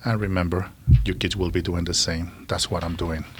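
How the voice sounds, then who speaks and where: A man with a Colombian accent speaks with fairly even intonation. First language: Spanish. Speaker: social worker. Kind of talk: interview.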